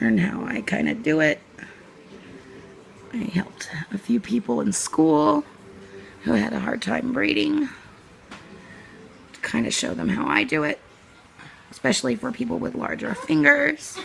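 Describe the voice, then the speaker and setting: Noticeable background noise, with long pauses coming frequently. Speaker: cosmetology student. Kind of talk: tutorial talk to camera.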